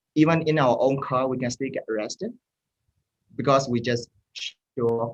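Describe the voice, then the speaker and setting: Recorded with a dry, close sound and no echo, a man with a Burmese accent speaks at a moderate pace and ordinary pitch variation. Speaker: mental health helpline founder. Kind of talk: interview. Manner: halting.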